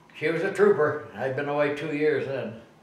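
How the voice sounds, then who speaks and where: Noticeable background noise sits behind a man with an American accent who talks at a fairly high pitch and a moderate pace. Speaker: war veteran. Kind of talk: interview answer.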